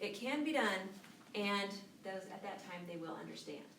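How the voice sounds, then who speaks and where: Audible room echo and noticeable background noise fill the recording. A woman speaks with ordinary pitch variation. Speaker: Bible teacher. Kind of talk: Bible study lesson. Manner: fast.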